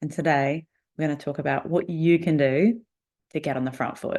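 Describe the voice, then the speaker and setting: Someone talks at a very fast pace in an Australian accent, with ordinary pitch variation. The background is quiet. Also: woman. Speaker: podcast host, negotiation coach. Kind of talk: solo podcast monologue.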